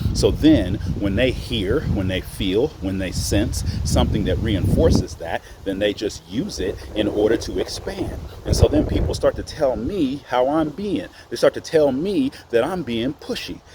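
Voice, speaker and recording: A man with an American accent speaks in a passionate tone at a fairly slow pace, with noticeable background noise. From Oklahoma. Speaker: spiritual teacher. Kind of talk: spiritual monologue. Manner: loud, passionate.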